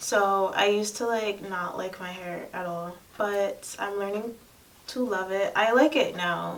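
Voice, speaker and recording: A soft-spoken woman talks at a fairly slow pace. Her intonation is fairly even, and room echo is audible. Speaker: lifestyle vlogger. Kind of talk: personal vlog talk to camera.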